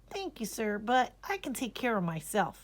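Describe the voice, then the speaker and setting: This is a put-on character voice that sounds female. It sits at a fairly high pitch for a woman. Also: moderate pace. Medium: read story. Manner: boastful, arrogant.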